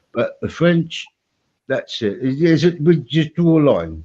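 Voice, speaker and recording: A man with an English accent, a dark, mellow tone and a fairly high pitch, at a very slow pace. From England. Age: 60s. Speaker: stream participant. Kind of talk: casual chat. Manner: halting.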